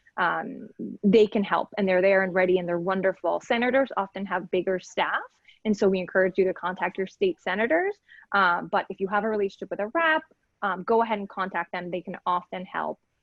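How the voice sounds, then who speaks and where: A woman with a medium-pitched voice talks fairly quickly, her pitch varying in an ordinary way. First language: Spanish. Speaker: legal aid lawyer. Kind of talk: panel discussion.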